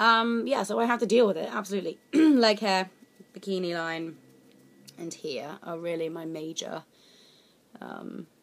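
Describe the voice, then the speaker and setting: A woman speaks at a moderate pace with lively intonation and big swings in loudness. Her pauses are long and frequent. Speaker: beauty vlogger. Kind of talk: casual vlog chat. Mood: jokey, candid. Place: home room. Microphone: webcam.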